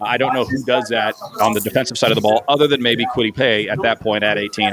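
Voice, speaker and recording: Amid noticeable background noise, a man talks very fast. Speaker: sports show host. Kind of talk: casual sports analysis chat. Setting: live stream. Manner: rambling, self-interrupting.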